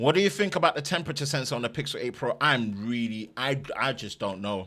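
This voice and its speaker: Speaking very fast with an East London accent, the voice has a bright, sharp tone and lively intonation. The recording is very clean, with a silent background. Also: man, medium pitch for a man. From East London, England. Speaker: tech YouTuber. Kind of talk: live stream chat. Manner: halting, repetitive.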